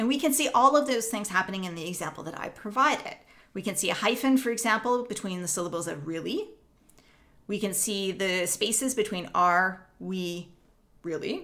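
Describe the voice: In a Northern Ontario accent, a woman speaks at medium pitch with ordinary pitch variation and a bright, sharp tone. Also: moderate pace. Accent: Canadian, Northern Ontario.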